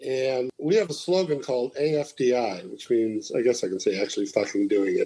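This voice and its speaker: A man with an American accent speaks at a moderate pace with hardly any pauses. Noticeable background noise sits under his voice. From US Midwest, Chicago. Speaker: radio programming consultant. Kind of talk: interview.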